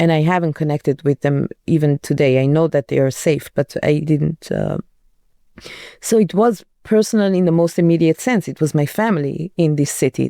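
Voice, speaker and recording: A woman's very deep, low voice in an Iranian accent, dark, mellow tone, ordinary pitch variation and moderate pace, with dry, close sound with no echo on a very clean recording with a silent background. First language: Farsi. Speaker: journalist. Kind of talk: interview. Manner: halting.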